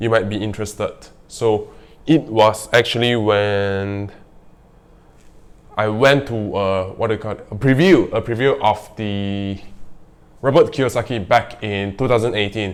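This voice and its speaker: On a very clean recording with a silent background, a man with a non-native accent speaks at a fairly slow, fairly low-pitched, fairly even pace of intonation, with long, frequent pauses. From Malaysia (Kuching). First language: not English. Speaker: real estate vlogger. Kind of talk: casual vlog monologue. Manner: halting, hesitant with fillers.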